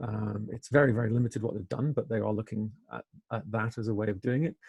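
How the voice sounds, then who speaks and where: Very fast and somewhat breathy, a man talks at a fairly low pitch in a dry, close sound with no echo. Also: ordinary pitch variation. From Wales. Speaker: engineering professor. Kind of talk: webinar interview. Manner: hesitant, many fillers.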